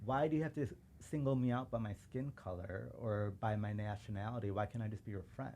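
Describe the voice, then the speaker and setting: A man with a Chicago accent talks at a fairly quick pace. His fairly low voice is dark and mellow in tone, with ordinary pitch variation. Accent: Chicago American English. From suburban Chicago. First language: Urdu. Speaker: civil rights lawyer. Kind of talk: casual chat.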